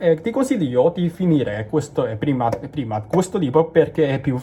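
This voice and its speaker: A man speaks with a Cantonese accent at a fairly high pitch, making very wide pitch swings. Noticeable background noise is present. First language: Cantonese (speaking Italian). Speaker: language learner vlogger. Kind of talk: casual vlog. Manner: halting, many fillers and restarts.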